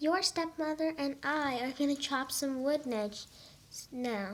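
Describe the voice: A woman's high, put-on character voice, fairly slow, with ordinary pitch variation.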